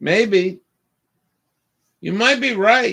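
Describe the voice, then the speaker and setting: With little sound behind him, a man speaks fairly slowly. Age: 60s. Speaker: livestreamer. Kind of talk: casual chat.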